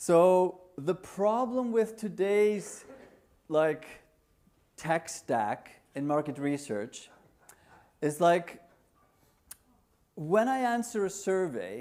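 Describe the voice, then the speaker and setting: Speaking very slowly with an Icelandic accent, a man uses a high pitch, lively intonation and long, frequent pauses. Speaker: conference speaker, market research tech entrepreneur. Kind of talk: conference talk. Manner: casual, hesitant with fillers.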